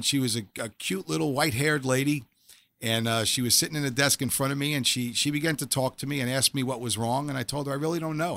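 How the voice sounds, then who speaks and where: The speech comes very fast in a New York accent, with a bright, sharp tone and ordinary pitch variation. The recording is very clean, the background silent. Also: man. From New York City (Staten Island). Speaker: former police officer turned chaplain and author. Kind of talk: testimony.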